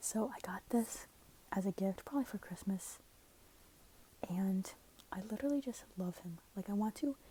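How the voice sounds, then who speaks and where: Soft-spoken, a woman talks in a whisper. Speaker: ASMR creator. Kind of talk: soft-spoken ASMR ramble to camera. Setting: headphones used as mic, lo-fi recording. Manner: soft-spoken, whispery, lo-fi.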